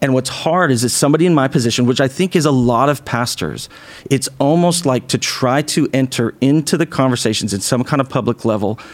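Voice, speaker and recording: An ordinary speaking voice in an American accent, at a moderate pace with ordinary pitch variation. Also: man. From small-town Idaho. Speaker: pastor and podcast co-host. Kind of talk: casual chat.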